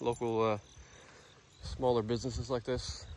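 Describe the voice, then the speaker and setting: A man at a moderate pace, in a dry sound with no echo, with noticeable background noise. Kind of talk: casual vlog chat. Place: open country. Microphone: phone near.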